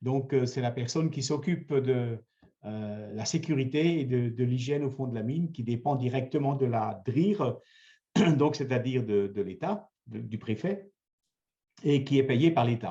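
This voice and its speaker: A man's somewhat breathy, dark and mellow voice at medium pitch, with ordinary pitch variation and a fairly slow pace. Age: 70s. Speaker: mayor. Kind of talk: interview. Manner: hesitant, many fillers.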